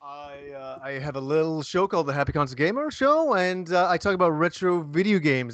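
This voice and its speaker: In a Canadian accent, a man talks at a very fast pace in an animated tone. His pitch varies in an ordinary way against a quiet background. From Canada (born in England, moved at 8). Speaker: retro video game YouTuber. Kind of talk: casual podcast chat.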